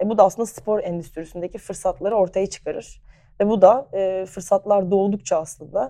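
Medium pitch and a dark, mellow tone from a woman. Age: 20s. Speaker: sports club marketing executive. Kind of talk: interview. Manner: frequent hesitation fillers.

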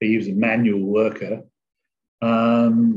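With fairly even intonation, a man's voice holds a medium pitch. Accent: English. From England. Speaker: online trader. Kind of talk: casual interview.

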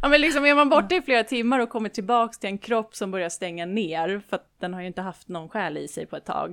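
The speaker talks at a fairly quick pace with lively intonation and big swings in loudness. It is a normal speaking voice. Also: woman. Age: 20s. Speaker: spiritual medium. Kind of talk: interview.

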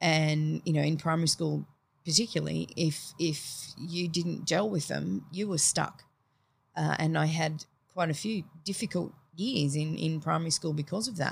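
On a very clean recording with a silent background, a woman with an Australian accent speaks at a moderate pace in a somewhat breathy voice with ordinary pitch variation. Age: 40s. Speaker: teacher. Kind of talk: casual interview chat.

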